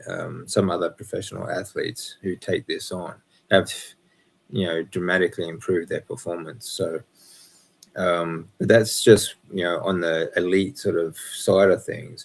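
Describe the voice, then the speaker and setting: A man with an Australian accent at a moderate pace. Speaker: breathwork and health coach. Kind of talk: live Q&A stream. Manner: halting with fillers.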